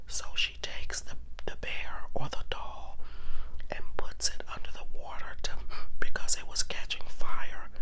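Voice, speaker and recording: The speech comes at a fairly slow pace. Noticeable background noise runs underneath it. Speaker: ASMR storyteller. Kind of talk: true crime story retelling, casual. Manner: soft-spoken, whispered.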